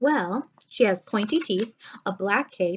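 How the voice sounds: Lively intonation in a natural reading voice.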